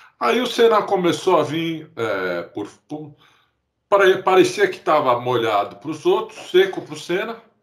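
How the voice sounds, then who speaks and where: A man speaks with very wide swings in pitch. His voice has vocal fry. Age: 50s. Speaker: podcast co-host. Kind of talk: casual chat.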